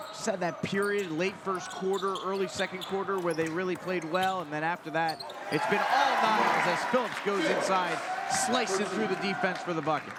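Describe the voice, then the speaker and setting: A man talks at a moderate pace with a high pitch. Noticeable background noise sits behind him. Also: ordinary pitch variation. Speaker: sports commentator. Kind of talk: live commentary. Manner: loud.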